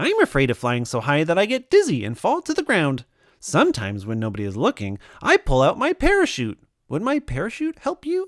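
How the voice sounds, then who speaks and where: A put-on character voice at a middle pitch moves at a fairly quick pace. The recording is very clean, with a silent background. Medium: read story. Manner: chirpy.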